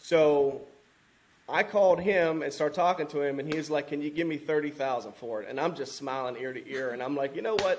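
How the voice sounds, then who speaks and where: This man has an ordinary speaking voice with fairly high pitch. He talks at a fairly quick pace. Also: ordinary pitch variation. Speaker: firefighter and land investor. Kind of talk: casual interview chat.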